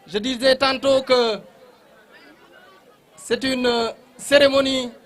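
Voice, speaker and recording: Over crowd noise in the background, a man talks at an extremely high pitch. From Senegal, Fouta region (Nabadji). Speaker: official speaker at a ceremony. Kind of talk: formal ceremonial speech. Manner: formal.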